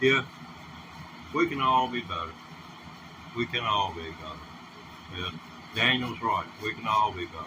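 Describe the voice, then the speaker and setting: With noticeable background noise behind him, a man in an American accent uses lively intonation and leaves long, frequent pauses. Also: fairly low pitch for a man, moderate pace. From US South. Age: 60s. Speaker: livestreamer. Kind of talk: casual livestream talk. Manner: halting.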